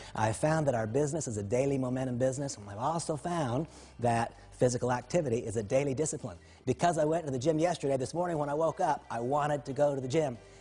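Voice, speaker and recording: A man talks at a very fast pace in a fairly high pitch, somewhat breathy. His tone is dark and mellow, with ordinary pitch variation. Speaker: network marketing leader. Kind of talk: motivational talk.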